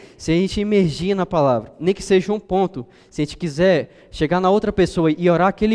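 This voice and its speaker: This man's voice sits high for a man and varies in pitch in an ordinary way. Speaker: preacher. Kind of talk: sermon.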